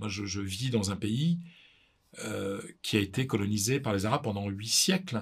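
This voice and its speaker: A man's fairly low, somewhat breathy voice, with ordinary pitch variation and long, frequent pauses. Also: moderate pace. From northern France, Pas-de-Calais. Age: 50s. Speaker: sports journalist and author. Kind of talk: interview. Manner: halting, many repetitions.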